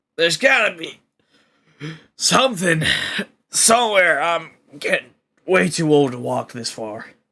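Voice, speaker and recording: A man does a put-on character voice, raspy and high-pitched, with very wide pitch swings. He keeps a moderate pace with long, frequent pauses, on a very clean recording with a silent background. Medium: actual play. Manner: grumbling, cranky.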